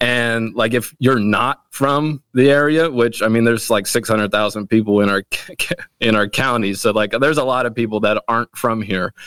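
A man at a medium pitch and moderate pace, in an unremarkable speaking voice with fairly even intonation and a dry, close sound with no echo. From Wilmington, Delaware, US. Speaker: pastor. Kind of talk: casual chat.

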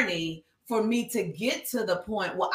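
The tone is animated. Intonation is lively throughout. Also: woman. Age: 50s. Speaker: speaker and nonprofit founder. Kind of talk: casual interview. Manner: loud.

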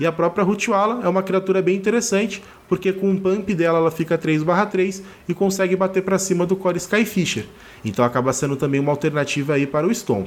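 A high-pitched male voice at a fairly quick pace, with ordinary pitch variation and very even loudness. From Rio de Janeiro, Brazil. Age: 30s. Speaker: card game content creator and writer. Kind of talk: pre-recorded opinion segment. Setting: remote pre-recorded audio.

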